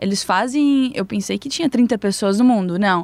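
A woman's unremarkable speaking voice, fairly high in pitch, with lively intonation at a moderate pace and a dry, close sound with no echo. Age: young. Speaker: newspaper designer, culture commentator. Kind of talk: casual chat.

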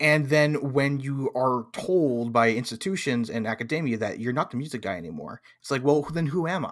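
A man has an unremarkable speaking voice at a medium pitch with ordinary pitch variation. He talks at a fairly quick pace with hardly any pauses. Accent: American. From California. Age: 20s. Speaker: tabletop game streamer. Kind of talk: casual chat.

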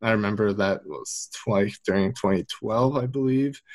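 With an unremarkable speaking voice, a man talks at a moderate pace, fairly low in pitch and fairly even in intonation. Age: 20s. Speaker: esports consultant. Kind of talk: interview.

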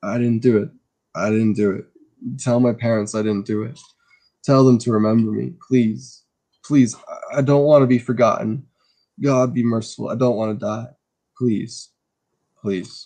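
A man's strained, put-on character voice at medium pitch, moderate pace and fairly even intonation, broken by long, frequent pauses. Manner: pleading, desperate.

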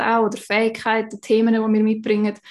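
A woman with a Swiss accent speaks very fast in a fairly high voice. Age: 20s. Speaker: human design coach. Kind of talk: casual interview.

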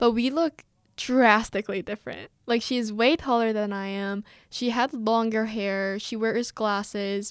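A woman in an American accent uses a normal speaking voice, fairly high in pitch, with fairly even intonation at a fairly slow pace. The sound is dry and close with no echo, on a very clean recording with a silent background. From South Korea (Seoul) and US. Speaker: podcast co-host, university student. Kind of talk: casual chat.

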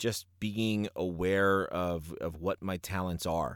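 Speaking very slowly with a New York accent, a man with a fairly low voice is recorded dry and close with no echo, the recording very clean with a silent background. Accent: New York area American. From New Jersey, US. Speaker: ring announcer and former professor. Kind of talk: casual interview.

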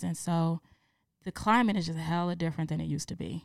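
Over a silent background in a very clean recording, a woman with a fairly low pitch talks very fast. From New York City, the Bronx. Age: 30s. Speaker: podcast guest. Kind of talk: casual chat.

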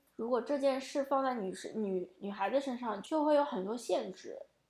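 A woman speaks at a high pitch with a dark, mellow tone. Her intonation is lively. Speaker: podcast host. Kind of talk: casual chat.

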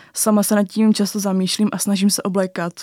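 At a fairly quick pace, a woman speaks in a medium-pitched, monotone voice with flat intonation, the sound dry and close with no echo. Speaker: journalism student, documentary author. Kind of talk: interview.

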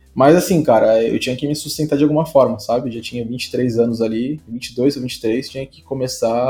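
With music in the background, a man speaks at a moderate pace and medium pitch, his intonation fairly even. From São Paulo state, Brazil (Santo André). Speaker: designer. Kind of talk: casual interview chat.

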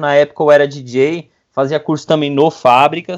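Against a quiet background, a man speaks in a normal speaking voice with a fairly high pitch. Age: 30s. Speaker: videomaker. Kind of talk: casual interview.

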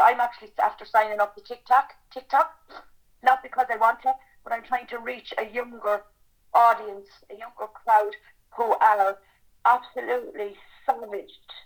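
In an Irish accent, a woman with a fairly high pitch talks at a moderate pace with ordinary pitch variation. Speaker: campaigning mother. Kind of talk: testimony.

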